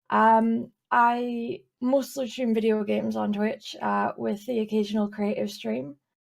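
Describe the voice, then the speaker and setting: With a Scottish accent, a woman speaks at a fairly slow pace with hardly any pauses. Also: very clean recording, silent background. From Scotland, east coast. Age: 20s. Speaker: streamer and illustrator. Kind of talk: casual interview.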